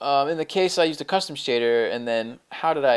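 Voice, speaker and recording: Fairly quick and with ordinary pitch variation, a man speaks in a very clean recording with a silent background. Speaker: programming tutorial maker. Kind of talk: screen-recorded coding tutorial. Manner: fast; casual, halting with many fillers.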